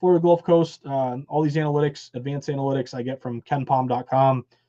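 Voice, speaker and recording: Speaking at a very fast pace with an American accent, a man with a fairly high pitch and a dark, mellow tone is captured in a dry, close sound with no echo. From US Northeast, western Massachusetts (Berkshires). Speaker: sports betting analyst. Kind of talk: live stream betting analysis. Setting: live stream. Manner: animated.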